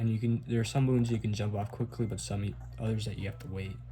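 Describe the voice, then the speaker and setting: Music plays behind a man with a fairly low pitch, and there is audible room echo. He speaks at a fairly quick pace. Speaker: speedrunner. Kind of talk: tutorial. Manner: casual.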